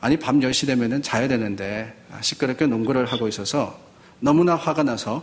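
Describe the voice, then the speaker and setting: There is audible room echo as a man speaks at a moderate pace and a medium pitch with ordinary pitch variation. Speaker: pastor. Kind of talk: sermon. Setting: church.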